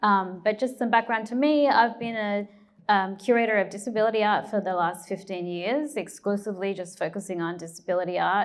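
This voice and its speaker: Speaking with an Australian accent, a woman talks at a fairly quick pace. Her pitch is medium, with ordinary pitch variation. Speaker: curator and art historian. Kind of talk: panel discussion. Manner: hesitant, many fillers.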